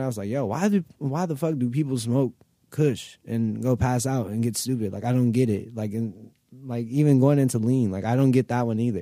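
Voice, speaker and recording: With an American accent, a man speaks at medium pitch and a moderate pace, in a dark, mellow tone with ordinary pitch variation. The recording is very clean, with a silent background. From Los Angeles, mid-city. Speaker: rapper. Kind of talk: casual interview. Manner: laid-back.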